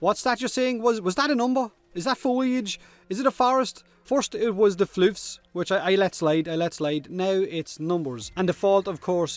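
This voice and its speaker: A man's high-pitched voice with an Irish accent, lively intonation, and a moderate pace, in a dry, close sound with no echo. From Ireland. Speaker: video game commentator. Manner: humorous, self-deprecating.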